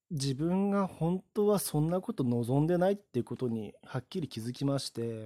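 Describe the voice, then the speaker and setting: Recorded very cleanly with a silent background and a dry, close sound with no echo, a man speaks at a fairly high pitch and a moderate pace. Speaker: podcaster. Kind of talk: solo talk monologue. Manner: frequent fillers like ano.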